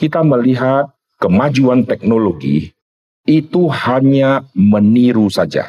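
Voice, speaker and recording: With lively intonation, a man speaks very slowly. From Indonesia, North Sumatra. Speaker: pastor. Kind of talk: sermon. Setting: seminar with audience.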